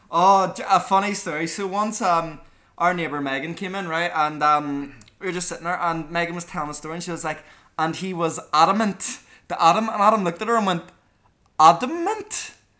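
A man talks fairly quickly at a high pitch, with a Belfast accent and a bright, sharp tone. His intonation stays fairly even, though his loudness swings widely. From Northern Ireland, Belfast. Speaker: podcast host, university student. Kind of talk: casual chat.

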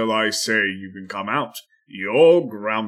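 In a put-on character voice, a man booms at a fairly low pitch and a fairly slow pace, his intonation lively. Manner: commanding, disciplining.

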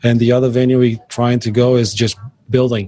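This is a man speaking. He has a Brazilian accent. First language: Portuguese. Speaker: job shop owner. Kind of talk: interview. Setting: on location at a business. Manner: halting, many fillers.

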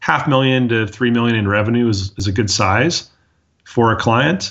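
Pitched at a medium level with ordinary pitch variation, this man has an unremarkable speaking voice. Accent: American. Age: 40s. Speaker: dental marketing agency owner. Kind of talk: interview.

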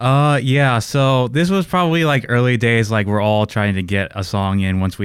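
This man has an unremarkable speaking voice and lively intonation. He talks at a moderate pace. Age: 20s. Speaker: band bassist. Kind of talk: casual interview chat.

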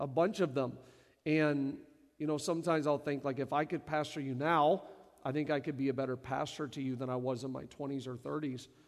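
An ordinary speaking voice from a man, fairly high in pitch. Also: fairly even intonation, fairly quick pace. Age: 40s. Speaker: lead pastor. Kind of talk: church service panel interview. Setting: stage in church service.

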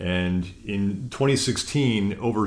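This is a man speaking. His pitch is fairly low. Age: 40s. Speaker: lawyer. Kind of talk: interview. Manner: halting, frequent repetitions.

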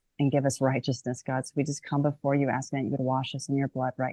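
Dry and close with no echo, a woman's voice sounds very deep and low. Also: quiet background. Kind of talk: personal testimony and discussion; closing guided prayer, eyes-closed invitation then intercessory petitions. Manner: energetic, joyful; fervent, earnest prayer cadence.

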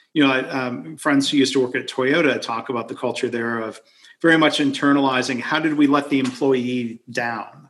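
Speaking at a fairly quick pace with fairly even intonation, a man has an unremarkable speaking voice at a medium pitch. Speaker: podcast host. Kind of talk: casual chat over whiskey. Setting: video call.

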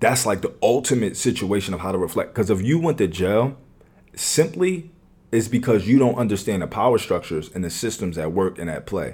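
A man talks in a normal speaking voice with an American accent. His pitch is fairly low, his pace moderate and his intonation lively. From US, West Philadelphia. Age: 20s. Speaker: podcast guest. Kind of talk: casual chat.

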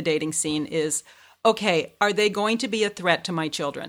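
Recorded very cleanly against a silent background, a woman talks in a normal speaking voice with ordinary pitch variation. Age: 50s. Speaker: podcast guest. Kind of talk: casual chat.

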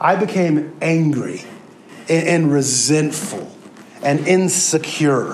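A man with an American accent speaks in an animated tone, with audible room echo and noticeable background noise around him. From Kansas City, US Midwest. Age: 30s. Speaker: pastor. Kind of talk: sermon.

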